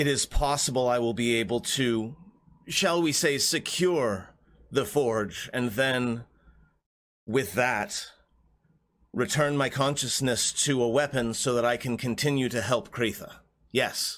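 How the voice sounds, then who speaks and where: A man puts on a character voice at a medium pitch, going at a fairly slow pace with long, frequent pauses. The recording is very clean, with a silent background. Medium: actual play. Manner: measured, hesitant.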